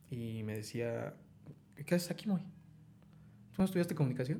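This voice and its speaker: With a central Mexican accent, this man's dark, mellow voice carries vocal fry and very wide pitch swings. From Mexico, Hidalgo (Tulancingo area). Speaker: writer. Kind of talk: casual chat. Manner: animated.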